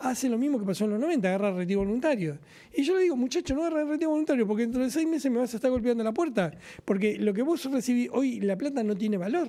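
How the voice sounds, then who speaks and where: Speaking very fast in a Rioplatense accent, the voice has a dark, mellow tone, lively intonation and very even loudness, on a very clean recording with a silent background. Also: man, extremely high pitch for a man. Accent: Argentine Rioplatense Spanish. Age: 60s. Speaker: trade union leader. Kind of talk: political talk show discussion. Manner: animated.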